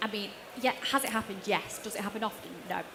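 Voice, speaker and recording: Very fast speech from a woman comes through above noticeable background noise. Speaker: auction finance lender. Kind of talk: panel Q&A.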